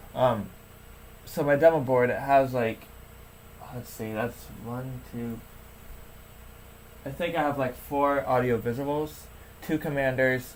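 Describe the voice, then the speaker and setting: Pausing long and often, a man speaks at a fairly slow pace and a medium pitch with fairly even intonation and big swings in loudness. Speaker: alarm hobbyist YouTuber. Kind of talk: livestream rant. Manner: halting. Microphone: low quality setup.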